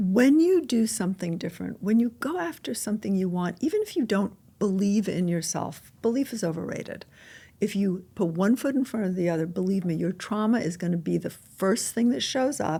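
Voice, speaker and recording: On a very clean recording with a silent background, a woman talks at a fairly quick pace in a somewhat breathy, dark, mellow tone of medium pitch, with lively intonation. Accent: American. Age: 60s. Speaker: intuitive and author. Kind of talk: podcast interview.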